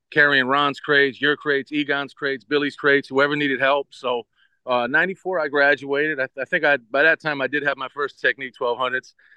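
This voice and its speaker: A man with a normal speaking voice and a fairly high pitch keeps to a moderate pace. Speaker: DJ. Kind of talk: casual radio interview.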